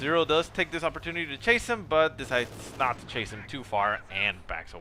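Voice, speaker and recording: A man with a non-native accent over noticeable background noise. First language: not English. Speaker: game replay caster. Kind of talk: live commentary. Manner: casual, hesitant with fillers.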